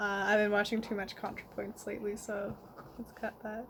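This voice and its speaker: A woman's mumbling voice. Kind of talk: casual rambling video diary. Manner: mumbled.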